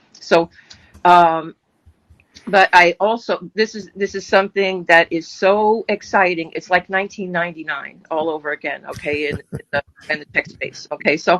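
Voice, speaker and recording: A woman with a plain, everyday voice speaks at a fairly slow pace at a medium pitch with ordinary pitch variation, in a dry, close sound with no echo. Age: 60s. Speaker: adult educator and online business coach. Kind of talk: casual group video chat. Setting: live video call.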